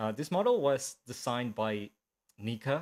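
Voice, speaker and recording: A man's medium-pitched voice with ordinary pitch variation and a slight non-native accent, on a very clean recording against a silent background. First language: Spanish. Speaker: animator. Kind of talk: live stream talk. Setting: live stream from home. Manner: halting, many fillers.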